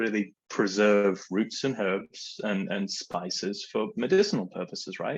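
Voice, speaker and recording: With an English accent, a man speaks in a fairly low pitch with ordinary pitch variation. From England. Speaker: spirits brand representative. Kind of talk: casual chat.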